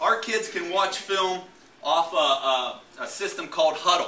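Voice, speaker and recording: Moderate-paced speech with audible room echo and light background noise. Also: man. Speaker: football coach presenting. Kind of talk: presentation talk to audience. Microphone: camera far.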